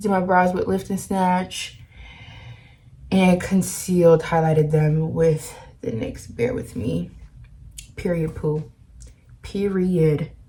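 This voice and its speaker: A quiet woman's voice at a very slow pace, with long, frequent pauses and ordinary pitch variation. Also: fairly low pitch for a woman. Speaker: beauty vlogger. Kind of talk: makeup tutorial. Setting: at home. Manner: quiet, low volume.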